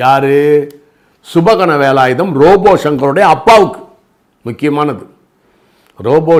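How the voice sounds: With lively intonation, a man talks at a fairly slow pace in a fairly high pitch.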